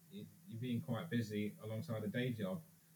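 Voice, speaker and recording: In an English accent, a man speaks fairly quickly with a medium pitch, a dark, mellow tone, a somewhat breathy quality and ordinary pitch variation. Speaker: reproduction business co-founder. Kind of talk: casual chat.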